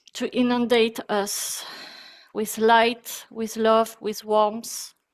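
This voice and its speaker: At a very slow pace, a woman speaks with a fairly high pitch and monotone, flat intonation. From France. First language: French. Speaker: breathwork teacher. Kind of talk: guided meditation; webinar talk. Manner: soft-spoken.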